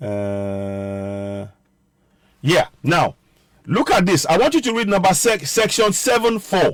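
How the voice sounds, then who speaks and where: A man with a Nigerian accent speaks very slowly in a high pitch, making very wide pitch swings and long, frequent pauses. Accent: Nigerian (Yoruba) English. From Nigeria (Yoruba). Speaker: political commentator, online show host. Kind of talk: political commentary livestream. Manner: halting, self-correcting.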